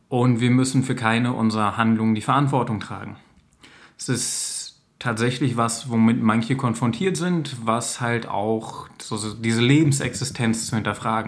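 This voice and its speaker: Audible room echo surrounds a man speaking at a moderate pace. His medium-pitched voice keeps a fairly even intonation. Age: 30s. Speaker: social worker making videos for teens. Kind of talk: direct-to-camera monologue. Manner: informal, with frequent fillers.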